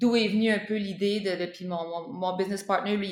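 A woman speaks at a fairly quick pace with monotone, flat intonation. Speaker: spearfisher and breathing coach. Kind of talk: interview. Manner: halting, many repeated words.

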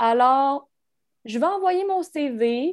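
On a very clean recording with total background silence, the tone sounds dark and mellow. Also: woman. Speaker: sports journalist. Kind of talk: casual interview.

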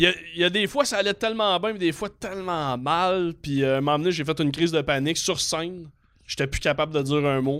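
On a very clean recording with a silent background, a man talks very fast at a high pitch with ordinary pitch variation. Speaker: comedian. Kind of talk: casual chat.

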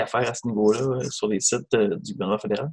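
A man speaks with a Quebec accent. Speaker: news show co-host. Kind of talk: news discussion. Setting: outdoors.

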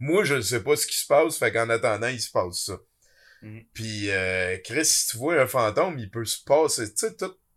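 With a plain, everyday voice, the speaker goes at a fairly slow pace with lively intonation and big swings in loudness, captured in a very clean recording with a silent background. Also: man, medium pitch for a man. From Quebec, Abitibi. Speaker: podcast host and web creator. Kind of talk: casual chat.

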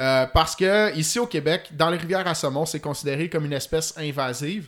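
Here a man talks at a moderate pace with fairly high pitch. He has an unremarkable speaking voice. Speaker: fly fishing expert. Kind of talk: technical podcast interview.

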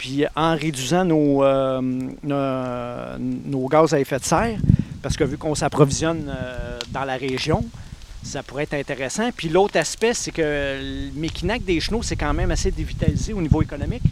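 Over noticeable background noise, a man with a fairly high pitch speaks at a moderate pace with ordinary pitch variation. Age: 40s. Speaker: municipal election candidate. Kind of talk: panel discussion.

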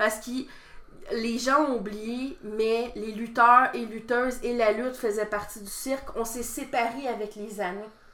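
Her voice is fairly high and fairly even in intonation, moving at a fairly slow pace with big swings in loudness and audible room echo around it. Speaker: wrestling promoter and wrestler. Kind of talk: casual interview.

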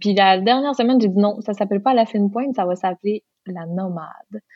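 With a Lac-Saint-Jean accent, a woman speaks at a medium pitch and moderate pace, with ordinary pitch variation. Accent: Lac-Saint-Jean Quebec French. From Quebec, Lac-Saint-Jean. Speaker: singer and hairdresser. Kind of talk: interview.

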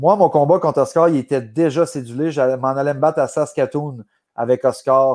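A man with a plain, everyday voice, fairly high pitch and fairly even intonation, against a quiet background. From Quebec. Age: 30s. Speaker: MMA fighter. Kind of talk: podcast interview.

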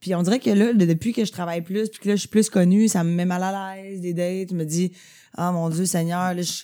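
Over a very clean recording with a silent background, a woman speaks at a fairly quick pace and medium pitch, her intonation fairly even but her loudness swinging widely. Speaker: podcaster and comedy writer. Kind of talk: casual chat.

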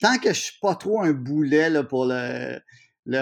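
A man with a fairly high pitch speaks at a very slow pace with lively intonation over a quiet background. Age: 50s. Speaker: TV host, columnist and actor. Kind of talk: casual interview.

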